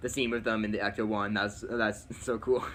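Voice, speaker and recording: His tone is bright and sharp, and this man's pitch sits fairly low. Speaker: movie YouTuber. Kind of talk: casual chat. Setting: livestream. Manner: fast; animated.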